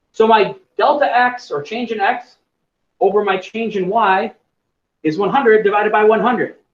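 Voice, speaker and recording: This man talks at a moderate pace with a high pitch, ordinary pitch variation, and long, frequent pauses. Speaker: chemistry teacher. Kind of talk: lecture.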